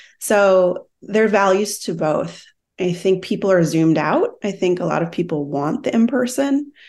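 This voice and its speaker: With a normal speaking voice and an American accent, the speaker uses lively intonation at a moderate pace against a quiet background. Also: woman, medium pitch for a woman. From Minnesota. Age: 40s. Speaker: wellness business founder. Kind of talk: casual interview.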